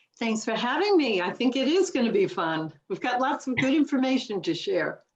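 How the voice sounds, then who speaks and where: This woman has a high-pitched voice. Her pitch swings very widely. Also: moderate pace. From New York City. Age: 70s. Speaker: public relations expert. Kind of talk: podcast interview.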